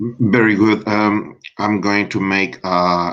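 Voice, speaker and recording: A man with a non-native accent. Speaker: debater. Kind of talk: casual chat. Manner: halting.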